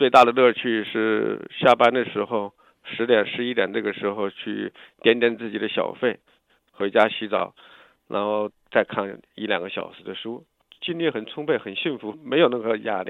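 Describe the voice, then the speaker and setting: A man speaks at medium pitch and a moderate pace with ordinary pitch variation. His loudness swings widely. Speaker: lawyer and exiled dissident. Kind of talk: interview. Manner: halting.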